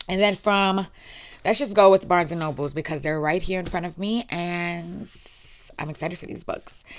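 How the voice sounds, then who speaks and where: A woman speaks in an animated tone at a fairly low pitch. Her loudness swings widely, while her pitch varies in an ordinary way. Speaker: booktuber. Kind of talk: casual chat. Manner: fast.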